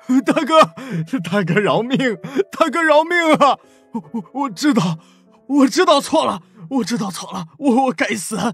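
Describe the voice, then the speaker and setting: A man puts on a shaky character voice at a fairly slow pace. Faint music plays in the background. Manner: pleading, trembling.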